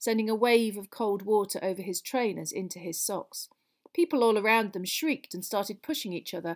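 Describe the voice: The text is read plainly aloud. The background is quiet.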